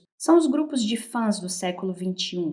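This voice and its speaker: Slow-paced and somewhat breathy, a woman speaks at a fairly slow pace. Her intonation is lively. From Brazil, Belo Horizonte (Minas Gerais). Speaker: podcast host and researcher. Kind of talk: scripted podcast narration. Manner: conversational.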